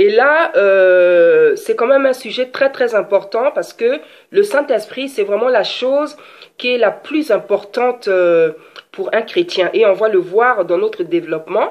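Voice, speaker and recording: A woman speaks at a fairly slow pace in a high pitch. Her pitch swings very widely. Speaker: preacher. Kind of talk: sermon.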